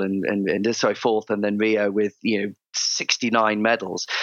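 A man with a southern English accent speaks at a moderate pace and a medium pitch, in a monotone, flat intonation, with a dry, close sound with no echo and a quiet background. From England, Cheltenham, Gloucestershire. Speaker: former Olympic diver and performance coach. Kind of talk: interview. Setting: video call.

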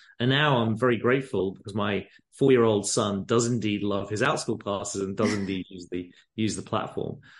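A man with an English accent speaks fairly quickly in a fairly low pitch. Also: ordinary pitch variation. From England. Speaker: company founder. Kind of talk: casual interview. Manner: gentle, passionate.

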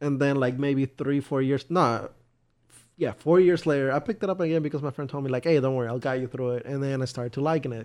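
A man's fairly high voice, very fast in pace, fairly even in intonation, over a quiet background. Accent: Spanish. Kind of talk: casual chat.

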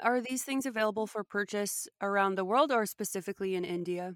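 Speaking with a Canadian accent at a fairly quick pace, the voice shows ordinary pitch variation and hardly any pauses, in a dry, close sound with no echo. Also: woman. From Canada. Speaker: podcast host. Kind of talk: interview. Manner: animated.

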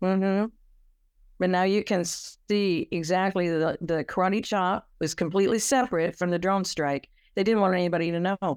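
Over a very clean recording with a silent background, a woman with an American accent uses a plain, everyday voice at medium pitch, moderate pace, fairly even intonation and very even loudness. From California. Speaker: author. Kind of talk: interview.

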